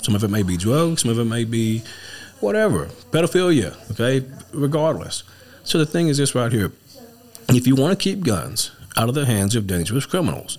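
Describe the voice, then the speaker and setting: Amid noticeable background noise, a man with an East Texas accent speaks with very wide pitch swings and long, frequent pauses. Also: medium pitch for a man. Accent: East Texas drawl. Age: 40s. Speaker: political candidate and trucking business owner. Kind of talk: casual political chat.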